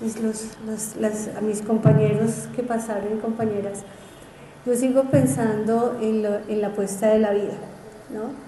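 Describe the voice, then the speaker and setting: A woman talks at a fairly slow pace in a fairly high pitch with fairly even intonation. Noticeable background noise and audible room echo are present. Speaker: teacher. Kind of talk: conference talk.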